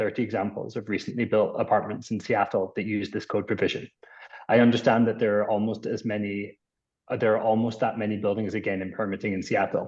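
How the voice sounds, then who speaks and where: The delivery is very fast. The intonation is monotone and flat. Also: man. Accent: Scottish. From Scotland. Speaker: architect. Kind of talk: public testimony. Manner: formal.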